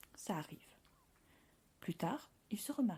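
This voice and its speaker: Somewhat breathy, a woman's voice carries a dark, mellow tone. She speaks at a moderate pace. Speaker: podcast host. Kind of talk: podcast narration.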